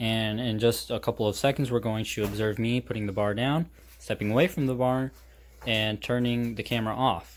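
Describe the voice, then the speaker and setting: Speaking at a fairly quick pace, a man holds a medium pitch with fairly even intonation. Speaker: amateur fitness vlogger. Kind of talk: casual vlog talk to camera. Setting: at home, family upstairs. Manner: monotone.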